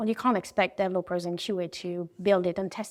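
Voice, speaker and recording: A woman at a medium pitch and moderate pace, in a very clean recording with a silent background. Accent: French. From France. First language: French. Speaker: design executive. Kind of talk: interview. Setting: event.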